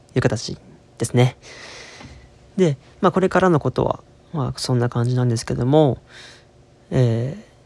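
A man speaks at a moderate pace and a medium pitch. His pitch varies in an ordinary way, and he takes long, frequent pauses. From Osaka, Kansai. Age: 20s. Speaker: podcast host, university student. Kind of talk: casual solo monologue. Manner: halting, many fillers.

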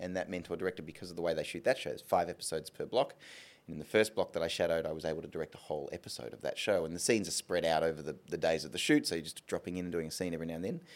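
Here a man talks at a very fast pace. He has an Australian accent. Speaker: film and TV director. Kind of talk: interview on stage. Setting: stage with live audience.

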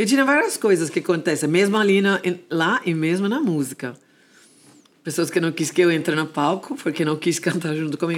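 A woman with an English accent speaks at a fairly quick pace in a fairly low pitch, on a very clean recording with a silent background. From Jamaica. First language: English (speaking Portuguese). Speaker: dance music and gospel singer. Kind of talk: interview.

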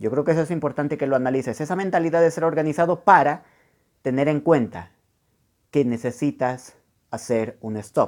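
In a very clean recording with a silent background, a man speaks in an animated tone with lively intonation, big swings in loudness, and long, frequent pauses. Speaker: podcast host, personal development coach. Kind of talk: motivational monologue. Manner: fast.

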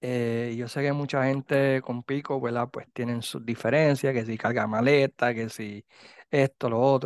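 Fairly slow, monotone, flat speech over a quiet background. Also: man, medium pitch for a man, dry, close sound with no echo. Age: 50s. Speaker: podcast host. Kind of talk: casual chat.

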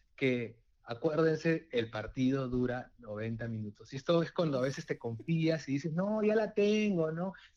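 A man's plain, everyday voice at a fairly high pitch, with lively intonation, a fairly slow pace and hardly any pauses. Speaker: football fan guest. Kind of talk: casual chat.

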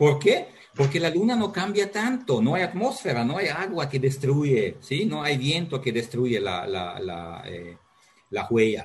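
A man talks with a fairly high pitch and very wide pitch swings, keeping a fairly slow pace. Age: 50s. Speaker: geology professor. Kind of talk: interview. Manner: halting.

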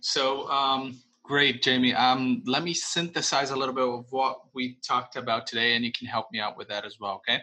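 A man with a Portuguese accent speaks at a medium pitch and a moderate pace. His pitch varies in an ordinary way, with hardly any pauses. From Brazil. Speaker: podcast host. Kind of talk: podcast interview.

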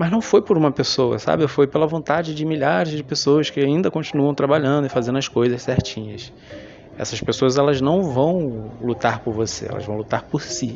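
A relaxed tone at a moderate pace, ordinary pitch variation, and music in the background. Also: man. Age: 30s. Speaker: podcaster. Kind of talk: casual monologue.

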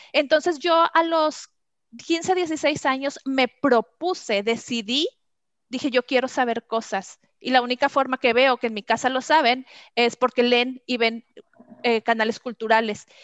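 A woman talks in a high pitch with ordinary pitch variation. Her pace is fairly slow. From Mexico. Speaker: customer experience trainer. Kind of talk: interview.

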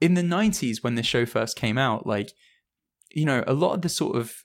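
Lively intonation marks a man speaking with an English accent in a very clean recording with a silent background. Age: 30s. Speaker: journalist and podcast host. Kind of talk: casual chat.

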